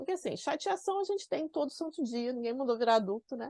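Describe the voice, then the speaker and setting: Her voice is high-pitched and swings very widely in pitch. The woman's recording is dry and close with no echo, over a quiet background. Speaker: productivity and organization coach. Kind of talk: online class. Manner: animated.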